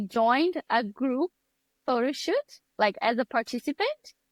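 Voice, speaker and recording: A woman with a Brazilian accent, high pitch and lively intonation at a very slow pace, in a dry, close sound with no echo on a very clean recording with a silent background. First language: Portuguese. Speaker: photographer and mentor. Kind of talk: podcast interview.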